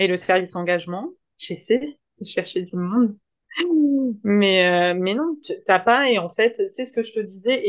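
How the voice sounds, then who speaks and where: The speech keeps a moderate pace with ordinary pitch variation. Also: woman. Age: 30s. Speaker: social worker and app founder. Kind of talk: interview. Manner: animated.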